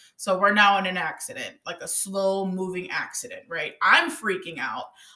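This woman's voice has a bright, sharp tone and an animated delivery. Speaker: podcast host. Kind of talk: casual conversational podcast, storytelling. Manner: high energy, animated.

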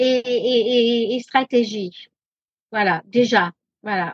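A high-pitched woman's voice with a slight American accent, very slow, in a dry, close recording with no echo. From half American, France. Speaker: social media trainer and author. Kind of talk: interview. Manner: halting, many fillers.

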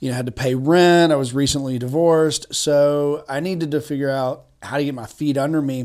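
A fairly quick, nearly pause-free delivery in a Tennessee accent, on a very clean recording with a silent background. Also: man, fairly high pitch for a man, fairly even intonation. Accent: Southern US (Tennessee). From East Tennessee, Chattanooga. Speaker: attorney and real estate investor. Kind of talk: podcast interview.

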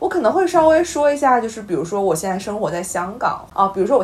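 Very wide pitch swings from a woman against noticeable background noise. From Weihai, Shandong. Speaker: podcast co-host. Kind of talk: casual chat.

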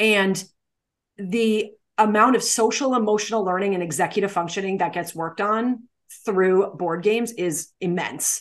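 Against a quiet background, a woman speaks at medium pitch and a moderate pace with ordinary pitch variation. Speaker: special education teacher and podcast host. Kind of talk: casual chat between co-hosts. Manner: loud.

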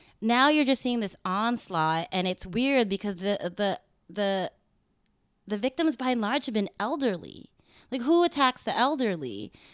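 A woman's fairly high voice in a West Coast American accent, fairly slow with very wide pitch swings, on a very clean recording with a silent background. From Los Angeles. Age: 30s. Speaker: activist. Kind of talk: interview. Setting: at her home.

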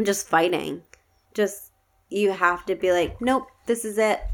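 A woman with an American accent at a medium pitch, ordinary pitch variation, and long, frequent pauses. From upstate New York, Schenectady. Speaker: podcast guest, host's fiancée. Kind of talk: casual chat. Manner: giggly.

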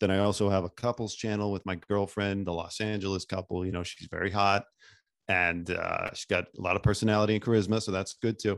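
A man's very fast, flat monotone against a quiet background. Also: fairly low pitch for a man. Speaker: guest, former TMZ field producer and YouTuber. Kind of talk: casual interview conversation.

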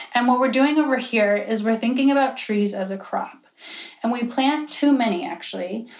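Using a normal speaking voice, a woman with an American accent talks at a fairly high pitch with ordinary pitch variation. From Pennsylvania. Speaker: student presenter. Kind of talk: presentation to a small group.

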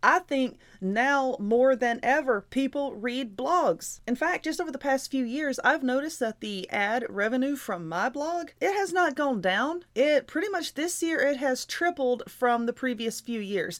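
Speaking in a Southern US accent, a woman with a high pitch moves at a fairly slow pace, her intonation lively and her speech with hardly any pauses. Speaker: podcast host and YouTuber. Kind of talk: motivational monologue. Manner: loud; animated.

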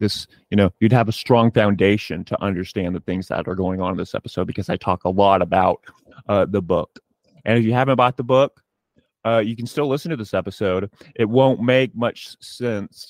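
An ordinary speaking voice from a man, fairly low in pitch, with ordinary pitch variation at a moderate pace. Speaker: podcast host. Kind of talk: casual interview chat. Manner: rambling, informal.

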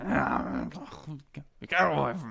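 Putting on a character voice, a man speaks at a medium pitch. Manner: mumbling.

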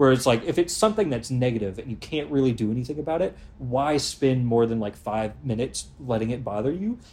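Breath is somewhat audible in this man's voice. He speaks very fast. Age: 20s. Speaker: podcast co-host. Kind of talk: casual chat.

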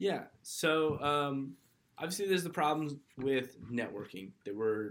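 A man with an American accent talks at a fairly slow pace with lively intonation, in an ordinary speaking voice. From California (Kernville). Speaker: startup co-founder, student. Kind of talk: casual chat.

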